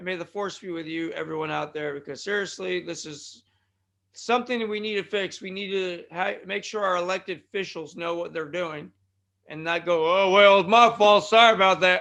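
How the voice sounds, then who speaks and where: A man with an American accent speaks in a raised, projected voice at high pitch and a fairly quick pace, with ordinary pitch variation. His loudness swings widely against a quiet background. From California. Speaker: wrestling podcast host. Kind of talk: casual podcast monologue. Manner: rambling, conversational.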